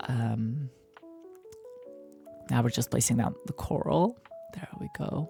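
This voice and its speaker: Soft-spoken and relaxed in tone, at a very slow pace with long, frequent pauses, over music in the background. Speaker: gaming content creator. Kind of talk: soft spoken gameplay commentary. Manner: soft-spoken, relaxed.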